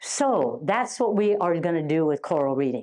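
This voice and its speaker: Against a quiet background, a woman in a normal speaking voice talks at a fairly slow pace with medium pitch and lively intonation. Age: 60s. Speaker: educational consultant and workshop presenter. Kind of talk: teacher training workshop. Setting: live workshop with audience. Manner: interactive, prompting audience responses.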